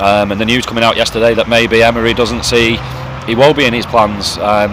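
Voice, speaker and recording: Very fast talk from a man, with noticeable background noise around it. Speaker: football fan vlogger. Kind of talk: casual monologue vlog. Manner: quick.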